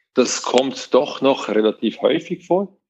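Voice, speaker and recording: A man talks at a very slow pace. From Switzerland. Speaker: web company manager. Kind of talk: interview.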